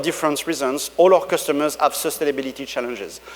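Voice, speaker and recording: Speech comes with a French accent and fairly even intonation. Noticeable background noise sits under it. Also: man. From France. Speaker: tech company executive. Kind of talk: conference keynote. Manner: halting, many fillers.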